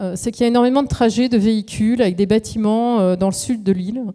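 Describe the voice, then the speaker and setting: This woman's voice sits fairly high. It carries a dark, mellow tone. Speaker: architect giving a talk. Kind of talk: lecture.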